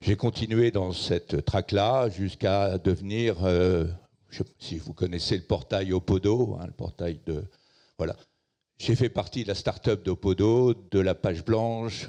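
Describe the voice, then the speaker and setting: This man's voice is very deep and low, with a dark, mellow tone. He talks at a very slow pace with ordinary pitch variation. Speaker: tech entrepreneur, conference speaker. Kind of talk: keynote talk. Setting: stage with audience. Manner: hesitant fillers (euh).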